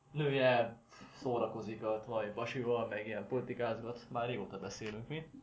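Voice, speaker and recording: A man talks at a moderate pace and medium pitch with fairly even intonation. Audible room echo and noticeable background noise accompany him. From Szeged, southern Hungary. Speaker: podcast co-host, gamer. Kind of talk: casual chat. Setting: home kitchen.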